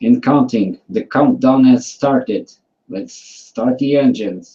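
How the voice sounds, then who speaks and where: A man talks at a very slow pace. He has a non-native accent. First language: not English. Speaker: flat earth debate participant. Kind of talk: casual online debate. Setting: video call hangout. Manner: halting.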